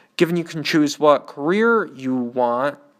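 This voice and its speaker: A man with an Upper Midwest accent speaks at a fairly high pitch on a very clean recording with a silent background. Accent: Upper Midwest American. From Michigan. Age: 20s. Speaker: podcaster, community college student. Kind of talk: personal monologue.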